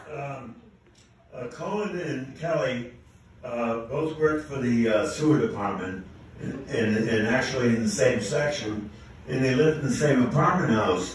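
Against light background noise and strong room echo, a man speaks at a moderate pace with lively intonation. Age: 80s+. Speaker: amateur comedian. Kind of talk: stand-up joke telling to a live audience. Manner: hesitant, with fillers. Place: stage.

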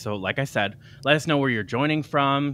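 Speaking at a fairly quick pace, a man shows ordinary pitch variation in a dry recording with no echo. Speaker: live stream host. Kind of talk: show host introduction. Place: home room. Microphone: studio mic.

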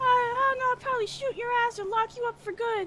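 The voice is extremely high in pitch. It moves at a moderate pace. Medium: game stream. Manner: irritated, sarcastic, swearing.

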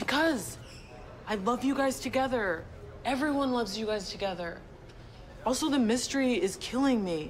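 Over light background noise, a woman speaks at a moderate pace with a high pitch and lively intonation. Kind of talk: scripted drama dialogue. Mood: upbeat, teasing, curious. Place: garage.

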